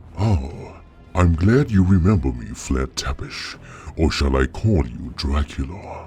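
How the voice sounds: Using a put-on character voice, a man speaks slowly at an extremely low pitch. His intonation is lively and his tone slightly mellow.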